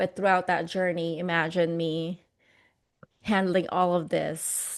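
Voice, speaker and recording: Against a quiet background, a woman with a Filipino accent speaks at a fairly slow pace. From Philippines. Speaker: motivational speaker. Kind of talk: interview. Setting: podcast.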